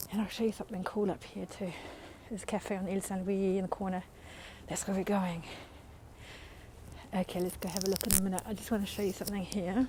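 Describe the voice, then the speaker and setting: Somewhat breathy and in a monotone, flat intonation, a woman talks at a very fast pace, broken by long, frequent pauses. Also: medium pitch for a woman. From New Zealand. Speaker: live-stream tour guide. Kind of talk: live-stream walking tour. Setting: outdoors, walking through city streets. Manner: casual, chatty.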